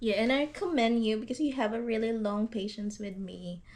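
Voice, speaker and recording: This woman speaks at a moderate pace with a Visayan accent. Her pitch varies in an ordinary way. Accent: Filipino (Visayan) accented English. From Philippines, Iloilo. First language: Hiligaynon. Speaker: YouTuber. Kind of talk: casual chat. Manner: halting.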